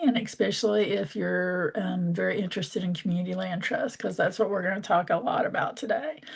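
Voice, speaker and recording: A woman speaks in an ordinary speaking voice. Her intonation is lively and her pace fairly quick. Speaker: community organizer. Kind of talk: online workshop presentation.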